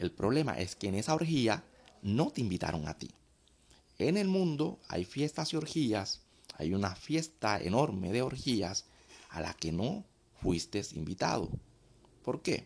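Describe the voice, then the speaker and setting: A man speaks fairly slowly, with long, frequent pauses. His pitch swings very widely. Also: medium pitch for a man. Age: 20s. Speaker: dating and sex commentator, former party entertainer. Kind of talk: provocative monologue addressed to men.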